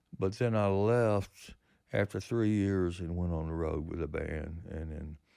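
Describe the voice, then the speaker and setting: With a Southern US accent, the voice has a dark, mellow tone, ordinary pitch variation and a moderate pace. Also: man. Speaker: musician. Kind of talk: interview. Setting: studio.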